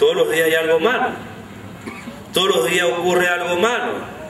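With audible room echo, a man speaks at a moderate pace in a high pitch, his fairly bright tone showing ordinary pitch variation.

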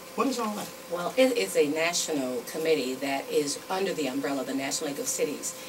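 Against loud background noise, a woman talks at a very fast pace. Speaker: council guest. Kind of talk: interview answer. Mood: upbeat, informative. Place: studio.

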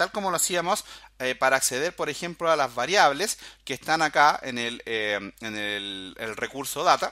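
This man's voice has a bright, sharp tone. It moves through very wide swings in pitch. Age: 40s. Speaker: programming instructor. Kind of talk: tutorial. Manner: casual, filler-heavy.

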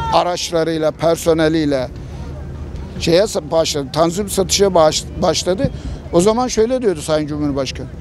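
A man's high voice at a fairly slow pace, with ordinary pitch variation, a dry sound with no echo, and crowd noise in the background. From Turkey. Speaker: passer-by interviewee. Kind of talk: street interview. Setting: outdoors. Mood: critical, aggrieved about economy. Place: street. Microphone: handheld.

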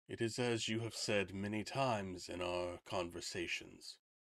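At a moderate pace, a man puts on a character voice with a fairly low pitch, in a very clean recording with a silent background. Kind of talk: fantasy game voicing. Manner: calm, cryptic, solemn.

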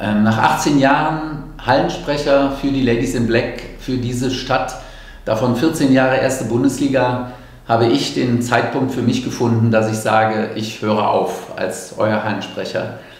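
A man speaks at a fairly slow pace with ordinary pitch variation. Audible room echo surrounds his voice. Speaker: longtime arena announcer for a volleyball team, handing over the job. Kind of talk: farewell announcement to fans, talking to camera. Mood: proud, slightly wistful. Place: empty room. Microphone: handheld.

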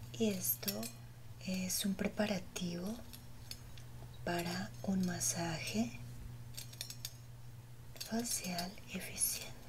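A soft-spoken woman, calm in tone, at a very slow pace, with noticeable background noise. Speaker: ASMR creator. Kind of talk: soft ASMR role-play narration. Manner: soft-spoken, hushed calm ASMR voice. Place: home room.

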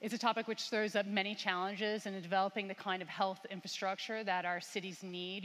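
A woman speaks with an American accent at a fairly quick pace. Her intonation stays fairly even. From US Midwest. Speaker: panel moderator and journalist. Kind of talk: panel discussion. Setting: stage with audience. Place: stage.

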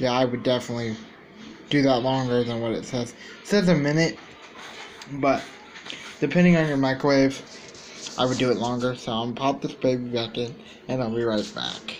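Against light background noise, a man talks at a fairly quick pace with fairly even intonation. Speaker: food reviewer. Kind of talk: casual vlog chat. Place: home room. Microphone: phone near.

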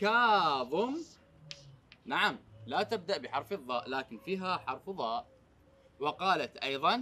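Speaking at a very slow pace, a man lets his pitch swing very widely. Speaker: teacher. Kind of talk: children's lesson. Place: classroom.

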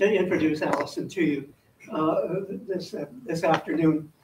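With lively intonation and a fairly slow pace, a man talks amid noticeable background noise. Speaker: former teacher introducing the speaker. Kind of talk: speaker introduction. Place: hall.

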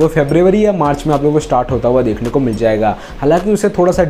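Talking at a fairly quick pace, a man swings his pitch very widely over light background noise. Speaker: review channel host. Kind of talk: casual vlog commentary. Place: home room.

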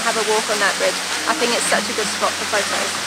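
A woman talks at a very fast pace. The sound is dry with no echo, under loud background noise. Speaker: travel vlogger. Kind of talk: casual vlog chat. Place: waterside. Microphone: phone near.

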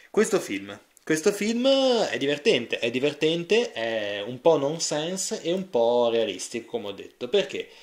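The speaker is a man with a fairly high pitch. His pitch swings very widely, and his pace is fairly slow. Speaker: film reviewer. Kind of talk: video review monologue.

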